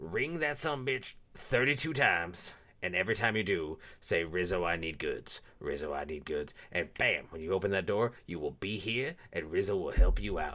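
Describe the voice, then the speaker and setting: Using a put-on character voice, a man speaks at a fairly low pitch on a very clean recording with a silent background. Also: moderate pace. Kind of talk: comedic ad read. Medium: audio drama.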